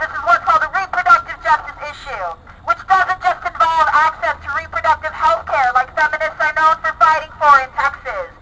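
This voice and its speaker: A woman's raised, projected voice at a fairly quick pace, with ordinary pitch variation. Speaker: speaker. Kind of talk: rally speech. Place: open country. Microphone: camera far.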